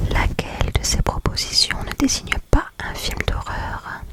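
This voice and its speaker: A woman whispers over noticeable background noise. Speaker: ASMR creator. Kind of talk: ASMR quiz presentation, talking to the viewer. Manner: whispered, soft-spoken.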